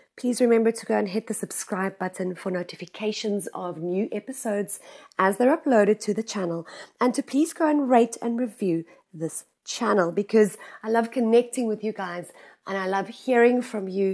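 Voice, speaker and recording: A woman speaks in an unremarkable speaking voice, fairly high in pitch, with ordinary pitch variation. Her pace is moderate and the background is quiet. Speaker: business coach and podcast host. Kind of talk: solo podcast monologue. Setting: recording outdoors.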